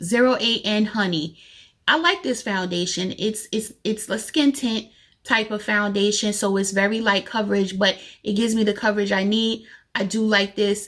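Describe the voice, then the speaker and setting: On a very clean recording with a silent background, there is an ordinary speaking voice with ordinary pitch variation at a moderate pace. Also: woman, fairly high pitch for a woman. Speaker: beauty youtuber. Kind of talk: casual product review vlog.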